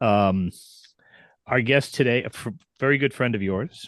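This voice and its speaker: This is a plain, everyday voice: a man at a medium pitch with ordinary pitch variation and a moderate pace. The sound is dry and close with no echo against a quiet background. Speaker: podcast host. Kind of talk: casual podcast talk. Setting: studio.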